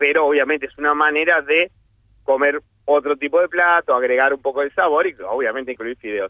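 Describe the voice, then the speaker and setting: Talking at a fairly quick pace, a man with a fairly high pitch has a plain, everyday voice and fairly even intonation. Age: 40s. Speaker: chef. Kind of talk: casual radio interview, cooking tips.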